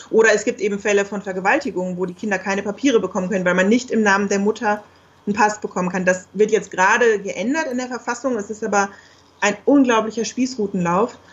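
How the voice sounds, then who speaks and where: This woman's voice is somewhat breathy, at a medium pitch with fairly even intonation. She talks at a very fast pace. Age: 30s. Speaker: geographer and single mother. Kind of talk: interview.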